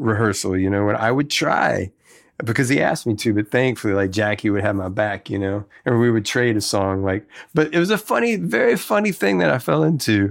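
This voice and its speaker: A man speaks with a Southern US accent at a fairly quick pace, his pitch fairly low with ordinary variation. The recording is very clean, with a silent background. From Tennessee (Memphis area), later Mississippi. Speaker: guitarist and singer. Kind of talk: casual interview chat.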